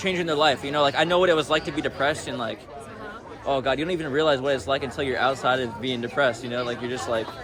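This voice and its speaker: Crowd noise and audible room echo surround a man with an American accent who talks at a very fast pace, his fairly high voice showing ordinary pitch variation. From United States. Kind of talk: casual street interview. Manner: animated, filler-heavy speech.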